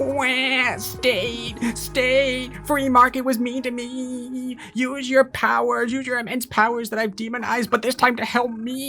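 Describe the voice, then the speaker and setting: Over clear background music, a man does a put-on character voice at an extremely high pitch and a fairly slow pace. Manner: whiny, mocking.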